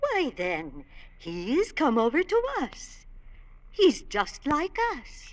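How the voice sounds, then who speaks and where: Using a put-on character voice, a female-sounding speaker talks at a very slow pace with extremely high pitch. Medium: old radio play. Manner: snobbish.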